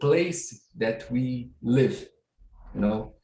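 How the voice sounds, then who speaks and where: Speaking at a very slow pace, a man with a Portuguese accent uses a medium pitch and sounds somewhat breathy. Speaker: researcher. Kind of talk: audience question. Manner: halting.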